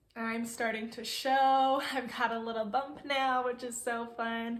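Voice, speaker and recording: Audible room echo around a woman's high voice. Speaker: vlogger. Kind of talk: casual vlog chat. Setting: sitting on bed, home recording.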